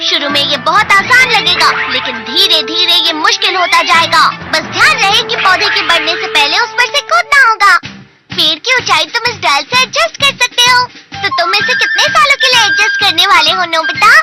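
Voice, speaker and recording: A cartoonish character voice talks at an extremely high pitch and a moderate pace. Faint music plays in the background. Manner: lecturing.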